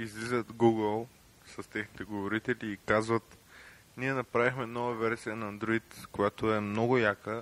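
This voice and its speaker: Speaking at a moderate pace, a man keeps a medium pitch and monotone, flat intonation in a dry, close sound with no echo. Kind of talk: casual podcast talk.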